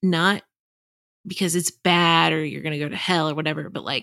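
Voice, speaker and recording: In a very clean recording with a silent background, a woman's fairly low voice carries vocal fry and a bright, sharp tone, the sound dry and close with no echo. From Texas. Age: 30s. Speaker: journalist and author. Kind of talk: interview conversation.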